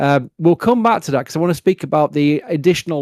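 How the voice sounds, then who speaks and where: A man with a Yorkshire accent, very fast pace, fairly high pitch and ordinary pitch variation, in a dry, close sound with no echo. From Yorkshire, northern England. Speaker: livestream host. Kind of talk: live stream commentary and Q&A. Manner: mumbling at times.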